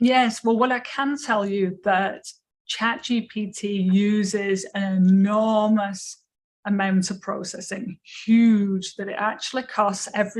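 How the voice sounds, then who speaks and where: A woman with an English accent talks at a very slow pace and a medium pitch. Her voice is somewhat breathy, with monotone, flat intonation. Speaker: education lecturer. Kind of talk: lecture Q&A.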